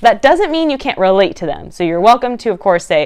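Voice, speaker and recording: A woman speaks in an animated tone over a quiet background. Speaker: fitness instructor. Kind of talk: tutorial. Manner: fast.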